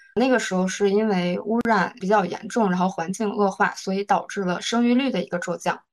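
A woman's medium-pitched, fairly even intonation in a plain, everyday voice. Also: fairly quick pace, hardly any pauses. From northeast China. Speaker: book club member. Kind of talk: book review talk.

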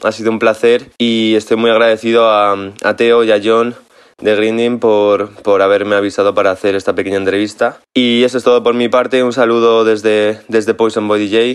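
A man's medium-pitched voice moves at a moderate pace, its intonation monotone and flat. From Spain, Ávila. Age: 20s. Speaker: DJ. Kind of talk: recorded message.

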